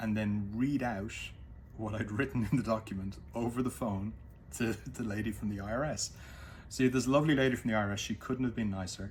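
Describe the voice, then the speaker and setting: A man speaks with an Irish accent at a medium pitch. His pace is fairly quick, with ordinary pitch variation. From Ireland. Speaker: former business executive. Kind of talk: casual talk to camera. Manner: halting, many fillers.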